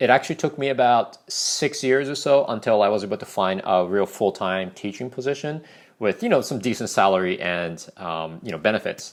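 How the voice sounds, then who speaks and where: A man's voice with very wide pitch swings, on a very clean recording with a silent background. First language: not English. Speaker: ESL teacher. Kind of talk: casual vlog advice talk. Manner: conversational, many fillers.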